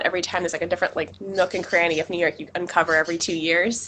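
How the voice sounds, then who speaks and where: A woman speaks with a bright, sharp tone. Her pitch is fairly low. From US, South Florida (Cuban-American family). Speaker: activist. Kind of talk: casual interview conversation. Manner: fast.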